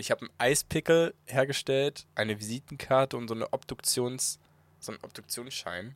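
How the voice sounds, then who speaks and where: The recording is dry and close with no echo, carrying a man's unremarkable speaking voice at medium pitch with ordinary variation. He talks at a fairly quick pace, and his loudness swings widely. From Bremen. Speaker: videographer. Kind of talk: casual chat.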